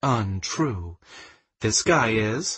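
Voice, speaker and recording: Putting on a character voice, a man speaks breathily at a medium pitch with lively intonation. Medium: read story. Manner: warm, teasing.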